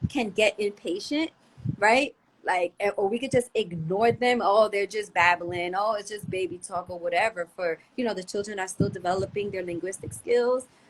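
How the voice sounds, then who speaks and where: In a plain, everyday voice, a woman talks with a medium pitch. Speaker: homeschool teacher and yoga school founder. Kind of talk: podcast interview.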